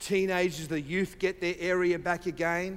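A man speaks with a high voice. He has an Australian accent. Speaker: visiting preacher. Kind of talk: sermon. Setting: church.

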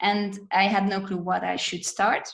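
A woman with a Hungarian accent speaks fairly slowly and somewhat breathily. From Hungary. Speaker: dancer and architect. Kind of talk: casual chat. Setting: video call.

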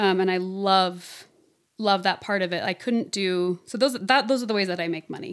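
Speaking at a moderate pace with ordinary pitch variation, a woman has a plain, everyday voice of medium pitch. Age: 30s. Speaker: voice teacher and singer. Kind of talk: casual interview chat.

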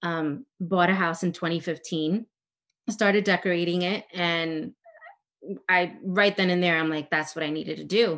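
With an American accent, a woman uses an unremarkable speaking voice, fairly low in pitch and fairly even in intonation. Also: moderate pace. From US, Dominican family. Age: 30s. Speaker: interior designer and property manager. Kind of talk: casual interview.

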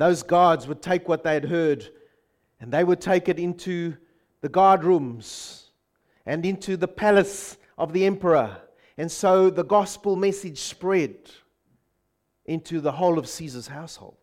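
A man with a New Zealand accent talks at a high pitch and a fairly slow pace. He leaves long, frequent pauses. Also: ordinary pitch variation. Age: 50s. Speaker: pastor. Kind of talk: sermon. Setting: church.

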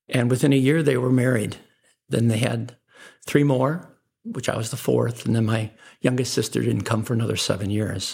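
A man with an American accent talks at a moderate pace and medium pitch. His intonation is fairly even, and his voice is somewhat breathy. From Chicago, US Midwest. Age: 60s. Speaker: businessman. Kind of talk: interview, life story.

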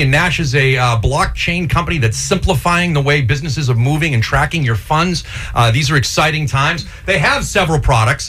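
The speaker has an American accent and a fairly quick pace with ordinary pitch variation. Noticeable background noise runs underneath. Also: man. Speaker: radio host. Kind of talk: radio DJ patter, casual live banter with sidekick and guest. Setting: studio. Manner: chatty, jokey, rambling, off-the-cuff.

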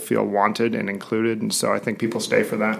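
This man has an unremarkable speaking voice, fairly low in pitch, and talks at a fairly quick pace. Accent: American. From Portland, Oregon. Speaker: corporate executive. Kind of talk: interview.

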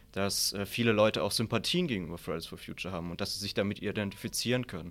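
A fairly low-pitched man at a very fast pace, on a very clean recording with a silent background. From Southern Palatinate, Germany. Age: 20s. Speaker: author and political science student. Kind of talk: debate.

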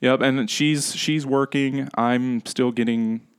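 Against a quiet background, a man with a US Midwestern accent talks in a dry, close sound with no echo and fairly even intonation. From Nebraska, US Midwest. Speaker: education tech entrepreneur. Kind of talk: interview.

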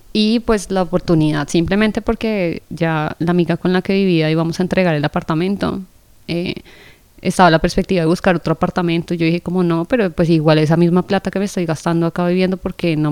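With a Colombian accent, a woman speaks at a fairly quick pace in a fairly low pitch. Her intonation is fairly even, and the sound is dry and close with no echo. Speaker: podcast host. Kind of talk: casual chat.

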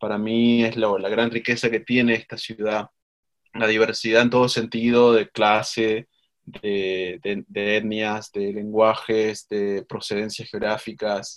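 A man's monotone, flat delivery at a very slow pace over a quiet background. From Argentina, Mendoza. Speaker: writer and university instructor. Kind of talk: interview. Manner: halting.

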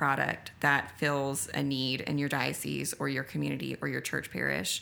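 Very deep and low in pitch with vocal fry, a woman speaks at a moderate pace on a very clean recording with a silent background. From Lafayette, Louisiana. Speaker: retail director. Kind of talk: interview. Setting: store gathering room on busy street.

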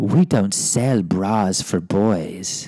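Using a put-on character voice, a man talks at a fairly low pitch with ordinary pitch variation. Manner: dismissive, disgusted.

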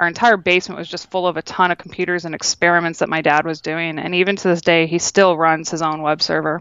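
Talking at a very fast pace with hardly any pauses, a woman with a Midwestern American accent keeps a monotone, flat intonation. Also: fairly low pitch for a woman. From Northwest Ohio (Toledo). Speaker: UX design director. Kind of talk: casual interview.

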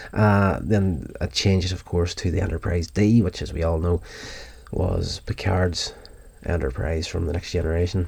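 At a moderate pace, a man with a very deep, low pitch and vocal fry speaks with ordinary pitch variation on a very clean recording with a silent background. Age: 40s. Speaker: podcast host reviewing TV episodes. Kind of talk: solo review monologue. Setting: recorded from YouTube video audio. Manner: casual, with fillers.

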